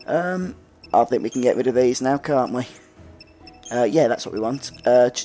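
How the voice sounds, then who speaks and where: A man's speech broken by long, frequent pauses, with music in the background. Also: medium pitch for a man, ordinary pitch variation, moderate pace. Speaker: video game let's player. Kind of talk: gameplay commentary.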